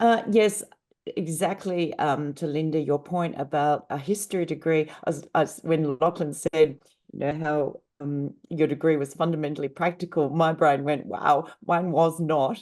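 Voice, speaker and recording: A woman's very deep, low voice in an Australian accent, at a moderate pace with ordinary pitch variation, against a quiet background. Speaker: panel speaker, university graduate. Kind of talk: panel talk.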